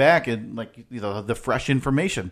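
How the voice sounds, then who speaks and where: Against a quiet background, a man with an ordinary speaking voice talks at medium pitch and a moderate pace. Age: 20s. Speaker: podcast co-host. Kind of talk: casual chat. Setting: studio.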